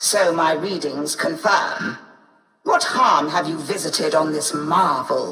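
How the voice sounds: Audible room echo surrounds a woman doing a put-on character voice with a bright, sharp tone. Her pitch is low, with ordinary variation, and her pace is slow.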